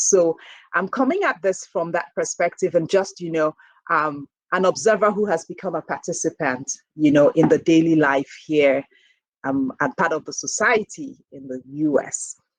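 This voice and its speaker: A woman's fairly low voice with a Nigerian accent, dry and close with no echo. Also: big swings in loudness. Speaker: professor and health researcher. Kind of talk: keynote lecture. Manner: conversational, with frequent fillers.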